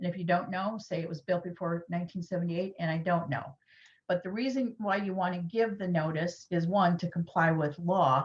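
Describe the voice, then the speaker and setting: A woman speaks at a fairly quick pace with a fairly low pitch. Her voice is somewhat breathy, with fairly even intonation. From Michigan. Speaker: lawyer. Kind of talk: lecture. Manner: fast.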